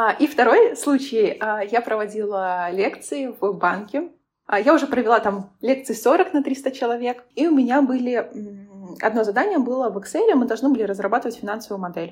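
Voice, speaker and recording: A woman with a high pitch talks at a moderate pace using lively intonation. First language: not Russian (speaking Russian). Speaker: business analytics consultant and lecturer. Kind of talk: casual interview.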